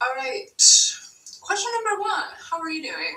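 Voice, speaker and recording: Projecting a raised voice in an American accent, a woman speaks at a moderate pace with very wide pitch swings. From Wisconsin. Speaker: vlogger. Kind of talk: Q&A vlog. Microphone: no microphone, poor audio.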